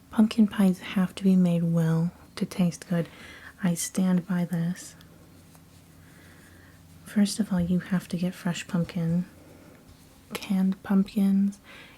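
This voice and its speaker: Soft-spoken and somewhat breathy, a woman speaks at medium pitch in a dark, mellow tone, with monotone, flat intonation, a very slow pace and long, frequent pauses. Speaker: ASMR artist. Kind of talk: ASMR casual ramble.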